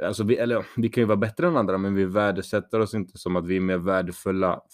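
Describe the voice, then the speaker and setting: A man speaks in a fairly low voice. The recording is very clean, with a silent background. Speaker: podcast co-host. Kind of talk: casual chat.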